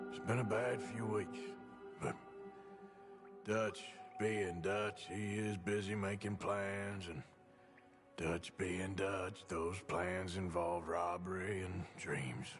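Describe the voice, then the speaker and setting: Clear music plays behind a man doing a put-on character voice. He sounds raspy and fairly low, speaking at a very slow pace. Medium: machinima. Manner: laconic, dry.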